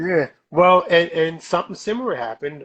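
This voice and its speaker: A man with a New Jersey accent speaks at a moderate pace. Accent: New Jersey American. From South Jersey, US. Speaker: comic book artist. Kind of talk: casual chat. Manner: animated.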